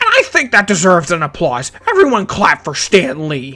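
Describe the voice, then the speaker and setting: A shrill, put-on character voice at a middle pitch. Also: moderate pace. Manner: loud, yelling, obnoxious.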